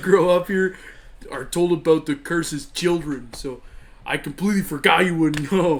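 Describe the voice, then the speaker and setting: A put-on character voice from a man, high pitched and drawling, at a moderate pace with fairly even intonation. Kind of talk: comic stoner impression. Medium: game stream. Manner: mellow, drawling, ends phrases with "man".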